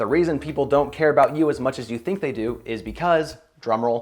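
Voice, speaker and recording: A man speaks at a medium pitch with lively intonation while music plays in the background. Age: 20s. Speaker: self-improvement youtuber. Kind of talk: casual vlog monologue.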